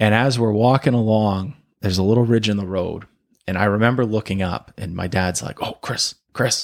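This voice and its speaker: An ordinary speaking voice with an American accent, talking at a moderate pace with fairly even intonation. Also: man, fairly low pitch for a man. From Maine, US. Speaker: podcast host and hunting guide. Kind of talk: casual chat.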